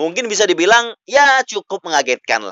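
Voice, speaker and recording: A man is shouting, loud and high-pitched. His pitch swings very widely. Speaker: podcast host. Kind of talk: solo wrestling news podcast. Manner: loud, shouting; hesitant with fillers.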